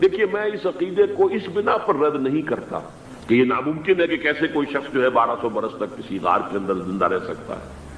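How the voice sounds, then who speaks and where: A man speaks at a fairly high pitch with very wide pitch swings. Noticeable background noise is present. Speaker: Islamic scholar giving a lecture. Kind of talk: religious lecture.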